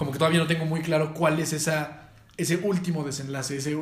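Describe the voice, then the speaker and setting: A man with a Mexican accent speaks at a very fast pace in a fairly high pitch and monotone, flat intonation, with audible room echo. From Mexico. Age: 20s. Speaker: entrepreneur and former pro footballer. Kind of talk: casual interview chat.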